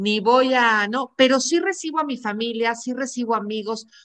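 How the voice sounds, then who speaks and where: At a moderate pace, a woman talks in a high voice. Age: 40s. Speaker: podcast host, psychologist and coach. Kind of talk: casual interview chat.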